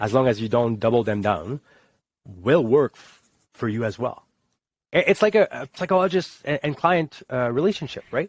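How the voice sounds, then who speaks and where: A man with a Quebec accent speaks at medium pitch and a moderate pace, with very wide pitch swings and big swings in loudness, in a very clean, dry, close recording with a silent background and no echo. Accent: Québécois French-accented English. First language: French. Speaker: army veteran. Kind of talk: casual chat.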